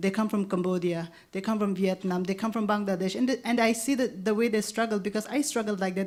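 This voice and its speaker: With a Nagaland accent, a woman speaks at a fairly quick pace. Her pitch is medium and her intonation fairly even. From Nagaland, northeast India. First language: Lotha. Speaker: anthropologist. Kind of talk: panel discussion. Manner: halting, many restarts and fillers.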